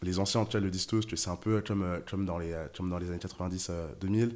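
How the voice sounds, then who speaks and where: A man with a very deep, low voice speaks fairly quickly in a flat monotone. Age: 20s. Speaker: venture capital investor. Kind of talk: casual interview.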